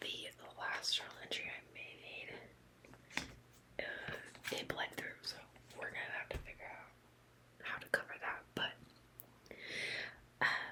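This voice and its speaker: Whispering at a fairly slow pace with long, frequent pauses, a woman speaks against noticeable background noise. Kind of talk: ASMR journaling video, casual talk to camera. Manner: soft, rambling.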